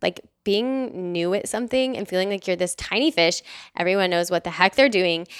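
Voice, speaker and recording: In a normal speaking voice with an American accent, a woman talks fairly quickly at a medium pitch with ordinary pitch variation, on a very clean recording with a silent background and a dry, close sound with no echo. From Texas, Dallas. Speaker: patient empowerment coach. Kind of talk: casual interview.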